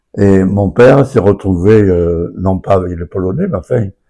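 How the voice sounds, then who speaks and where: The tone of this man's voice is dark and mellow. His pitch is fairly low. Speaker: local elder, son of a Resistance member. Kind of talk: radio interview. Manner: halting.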